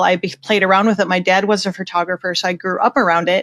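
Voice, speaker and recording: A woman with a Minnesotan accent, in a very clean recording with a silent background and a dry, close sound with no echo. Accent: Minnesota. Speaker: portrait photographer. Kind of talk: podcast interview. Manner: casual, conversational.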